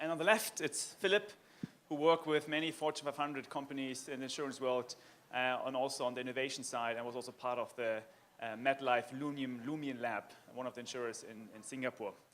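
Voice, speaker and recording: A man speaks very fast with a German accent. His medium pitch shows ordinary variation, and his loudness swings widely. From Germany. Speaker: panel moderator. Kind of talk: conference panel discussion.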